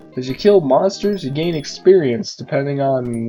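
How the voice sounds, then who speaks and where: A man's fairly high voice at a moderate pace, with music in the background. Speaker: retro game reviewer. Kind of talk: game review narration.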